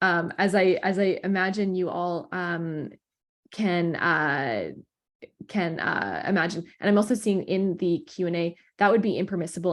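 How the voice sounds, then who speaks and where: Against a quiet background, a woman speaks at a fairly low pitch with ordinary pitch variation and vocal fry. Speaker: psychiatry resident and researcher. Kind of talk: lecture. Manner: fast; halting, many fillers.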